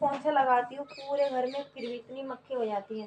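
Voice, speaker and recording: A woman's high voice moves at a moderate pace with fairly even intonation. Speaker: vlogger. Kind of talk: casual vlog talk. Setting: indoors at home.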